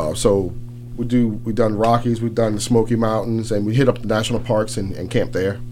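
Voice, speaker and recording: A man's monotone, flat delivery at medium pitch and a fairly quick pace, with music in the background. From New Orleans, Louisiana. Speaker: campus police chief. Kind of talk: radio interview answers. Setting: radio studio. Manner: relaxed, conversational.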